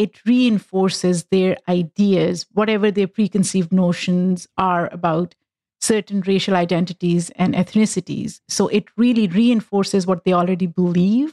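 The tone is dark and mellow, the intonation fairly even, and the sound dry and close with no echo. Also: woman. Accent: Pakistani. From Pakistan, Lahore. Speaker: activist and podcast host. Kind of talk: casual chat.

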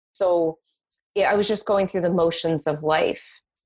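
An ordinary speaking voice from a woman, medium in pitch, moderately paced, with fairly even intonation. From Boston, US. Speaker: psychic medium. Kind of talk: interview, personal story.

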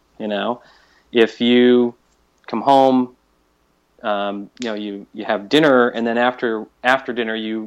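An unremarkable speaking voice, this man's sits at a medium pitch, moving fairly slowly with fairly even intonation. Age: 50s. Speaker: fitness podcaster. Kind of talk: casual interview.

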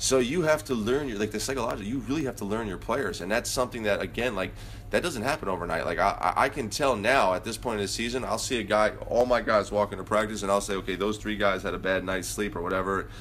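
Very fast speech with vocal fry, ordinary pitch variation and hardly any pauses. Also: man, fairly low pitch for a man. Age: 40s. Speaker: basketball head coach. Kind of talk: casual interview.

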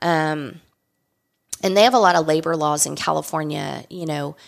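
A woman talks at a moderate pace. She has an American accent. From South Texas. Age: 50s. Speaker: winery co-owner and winemaker. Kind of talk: interview.

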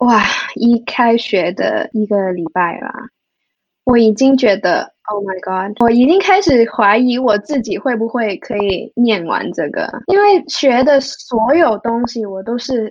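Using lively intonation, a woman with a Cantonese accent talks at a very slow pace and a fairly high pitch. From Hong Kong. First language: Cantonese (speaking Chinese). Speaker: music therapist. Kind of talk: interview. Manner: halting.

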